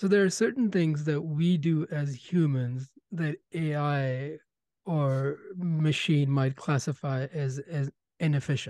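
Dark, mellow tone from a man at fairly high pitch, spoken at a very slow pace against a quiet background. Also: ordinary pitch variation. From India. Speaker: podcast host, medical background. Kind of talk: interview.

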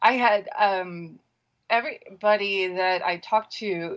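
A woman's ordinary speaking voice with an American accent, medium in pitch and with ordinary pitch variation. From US Pacific Northwest. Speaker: caller. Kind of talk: phone-in call.

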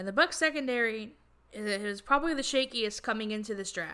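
A woman speaks at a fairly quick pace in an animated tone with lively intonation. The recording is very clean, with a silent background. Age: 20s. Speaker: sports podcast host. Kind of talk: solo sports commentary podcast.

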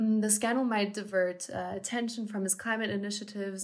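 A woman talks at a fairly quick pace in a somewhat breathy voice. Her pitch is medium and her intonation flat and monotone. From Munich, Germany. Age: 20s. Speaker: university student. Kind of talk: podcast discussion.

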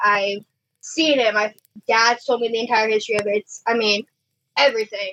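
With an American accent, a woman speaks at a moderate pace in a plain, everyday voice, pitched fairly high, with a dry, close sound and no echo. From Illinois, US Midwest. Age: 20s. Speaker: paranormal investigator.

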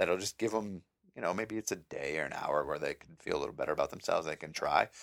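A man speaks with an Upper Midwest accent. The recording is dry and close, with no echo. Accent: Upper Midwest American. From Minnesota, Mankato. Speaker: podcast host, active duty airman. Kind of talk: solo podcast monologue. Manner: casual, many filler words.

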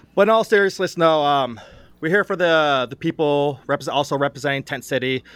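Fairly high in pitch, a man speaks in a plain, everyday voice. He talks at a fairly quick pace with ordinary pitch variation. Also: dry, close sound with no echo, very clean recording, silent background. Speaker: mayoral running mate candidate. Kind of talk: casual interview.

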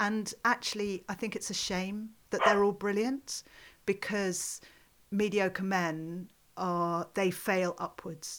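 Speaking very slowly with a British accent and fairly even intonation, the voice comes through on a very clean recording with a silent background. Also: woman, medium pitch for a woman. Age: 50s. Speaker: podcast host and film festival director. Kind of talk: casual chat. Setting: in person in a home study.

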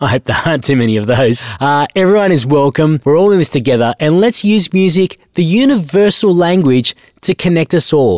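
An energetic tone at a fairly quick pace, with an Australian accent. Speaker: radio DJ and show host. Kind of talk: upbeat radio DJ patter between tracks, announcing guests and new releases. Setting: radio studio. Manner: energetic, hype-building announcer delivery; breezy, promotional plugs of socials and upcoming mixes.

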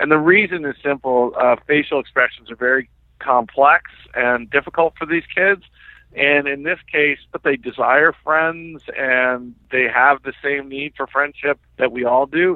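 A man with a plain, everyday voice speaks at a fairly slow pace. His pitch is fairly high and his intonation fairly even. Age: 50s. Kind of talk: interview.

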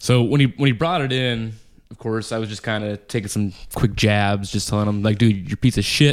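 At a fairly quick pace, a man with a plain, everyday voice talks in a fairly low pitch with ordinary pitch variation. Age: 30s. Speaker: podcast co-host. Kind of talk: casual chat.

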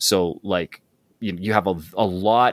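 A fairly low-pitched man with a Canadian accent and a normal speaking voice, in a dry, close sound with no echo. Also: very clean recording, silent background. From Alberta, Canada. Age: 40s. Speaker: actor and public speaking coach. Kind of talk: casual interview chat.

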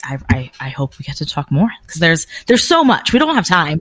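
A somewhat breathy woman in a very clean recording with a silent background. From New England. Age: 30s. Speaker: fitness brand content manager and powerlifter. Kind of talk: interview conversation.

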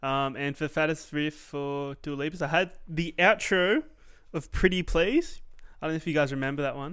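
With an Australian accent, a man speaks at a fairly high pitch with fairly even intonation. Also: moderate pace, very clean recording, silent background. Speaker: podcast co-host. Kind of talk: casual chat. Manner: laid-back, swears casually.

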